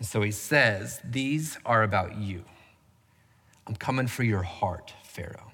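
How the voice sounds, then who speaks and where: Amid audible room echo, a man with a Southern US accent talks at a fairly slow pace with long, frequent pauses, his fairly low pitch carrying a bright, sharp tone and ordinary pitch variation. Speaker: pastor. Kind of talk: sermon.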